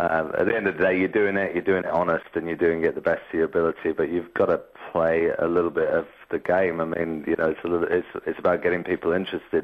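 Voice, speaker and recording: With an English accent, a man speaks at a very fast pace. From England. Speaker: rock band singer. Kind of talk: radio interview. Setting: radio studio. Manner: halting, many repeated words.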